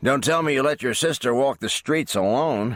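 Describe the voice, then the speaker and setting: In a put-on character voice at a medium pitch, a man talks at a moderate pace with ordinary pitch variation, the sound dry and close with no echo. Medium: read story. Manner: irritable, sarcastic.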